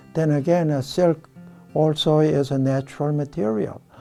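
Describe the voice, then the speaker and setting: A man at a fairly high pitch, speaking very slowly, with music in the background. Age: 70s. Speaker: fly tier. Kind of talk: tutorial demonstration. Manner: hesitant, many fillers.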